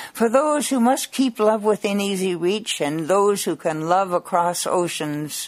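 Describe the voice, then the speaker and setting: A woman's medium-pitched, a normal speaking voice, with lively intonation. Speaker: poet. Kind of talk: poetry reading aloud. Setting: radio studio interview. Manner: expressive, rhythmic, lilting sing-song cadence with playful, wry delivery and laughs.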